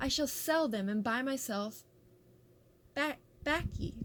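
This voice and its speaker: Putting on a character voice, a woman talks fairly slowly at a high pitch with ordinary pitch variation. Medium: read story.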